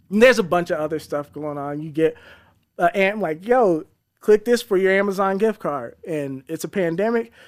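A man's high-pitched voice at a moderate pace with ordinary pitch variation, on a very clean recording with a silent background. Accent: American. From Colorado Springs, Colorado, US. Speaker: cybersecurity researcher. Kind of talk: casual interview chat.

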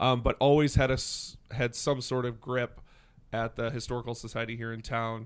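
In an Upper Midwest accent, a man speaks at a moderate pace and medium pitch with monotone, flat intonation. The recording is very clean and the background silent. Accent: Upper Midwest American. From western Wisconsin. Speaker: downtown business organization director. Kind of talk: casual interview chat.

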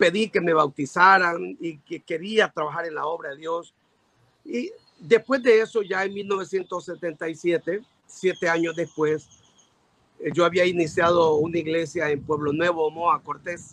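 This man's voice sits high and moves along at a fairly slow pace with fairly even intonation. The sound is dry and close, with no echo. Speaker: pastor and evangelist. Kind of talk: interview.

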